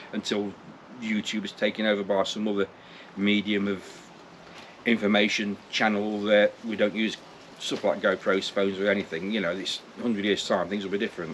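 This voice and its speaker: A man speaks in an East Midlands accent at a fairly quick pace. His fairly low voice stays monotone and flat. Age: 60s. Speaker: vlogger. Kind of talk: casual vlog monologue. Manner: halting, repetitive.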